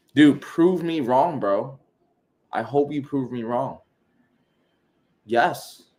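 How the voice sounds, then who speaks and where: With a New York accent and a fairly high pitch, a man talks at a very slow pace with long, frequent pauses. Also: ordinary pitch variation. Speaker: e-commerce coach. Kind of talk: live Q&A stream. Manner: animated.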